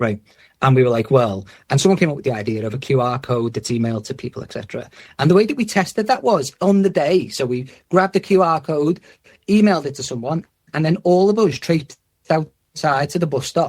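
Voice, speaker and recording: A somewhat breathy man's voice makes very wide pitch swings. The recording is very clean and the background silent. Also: fairly high pitch for a man. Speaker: head of user-centred design in health service. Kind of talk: podcast interview. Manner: casual, animated.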